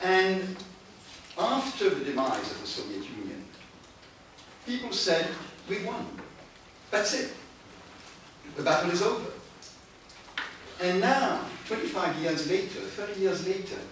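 Fairly slow male speech with long, frequent pauses, strong room echo and light background noise. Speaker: conference speaker. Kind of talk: lecture. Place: meeting room. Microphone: camera far.

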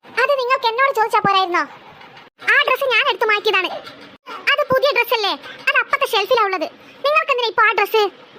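A woman performs a cartoonish character voice at an extremely high pitch. She talks at a very fast pace with ordinary pitch variation. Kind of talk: comic family cartoon. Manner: scolding, sarcastic.

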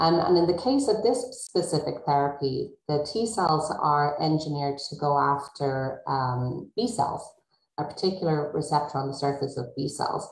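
A woman speaks at a moderate pace with a very deep, low pitch and a somewhat breathy voice. Her intonation is lively, and there is audible room echo. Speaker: rheumatology researcher. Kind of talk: panel discussion.

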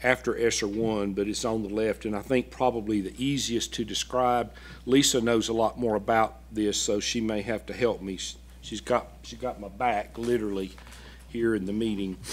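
This man speaks in an ordinary speaking voice at a moderate pace, his pitch fairly low with ordinary variation. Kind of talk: presentation to a board. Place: meeting room. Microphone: podium.

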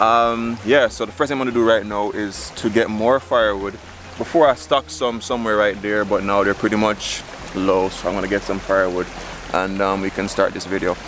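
Over noticeable background noise, a man speaks at a fairly quick pace with a fairly low pitch and ordinary pitch variation, the sound dry with no echo. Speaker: vlogger. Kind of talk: casual vlog chat. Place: waterside. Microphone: phone near.

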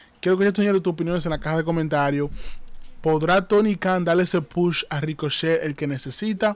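Speaking at a fairly quick pace, a man with a high pitch and ordinary pitch variation sounds dry, with no echo. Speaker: wrestling commentator and YouTuber. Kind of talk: wrestling commentary. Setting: live stream. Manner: repetitive, pitching viewers to like and subscribe. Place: home room.

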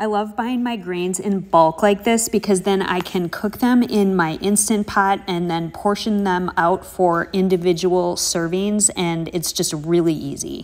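A woman speaks at a fairly slow pace with few pauses, her fairly low pitch, fairly even intonation and slightly mellow tone holding throughout.

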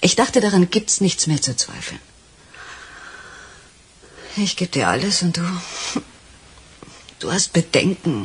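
Putting on a character voice, a woman speaks slowly at a fairly low pitch with a husky, rough edge, big pitch swings, and long, frequent pauses.

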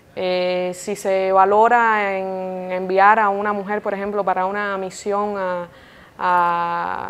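A woman speaks at medium pitch in a monotone, flat intonation. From Cuba. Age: 20s. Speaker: TV journalist and news presenter. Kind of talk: interview. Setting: indoor room at an institute.

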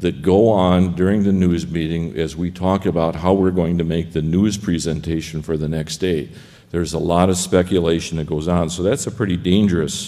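Delivery moves at a moderate pace. A dark, mellow tone colors the voice. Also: man, very deep, low pitch for a man. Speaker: conference panelist. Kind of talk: lecture. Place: hall. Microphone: podium.

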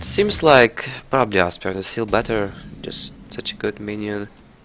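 A man speaks over noticeable background noise. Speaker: professional card game player and streamer. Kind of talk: live gameplay commentary.

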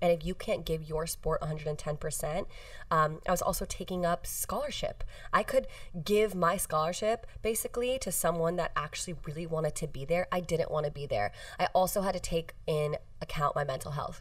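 With an American accent, a woman speaks at a fairly quick pace and takes few pauses. Her pitch is low, with ordinary pitch variation.

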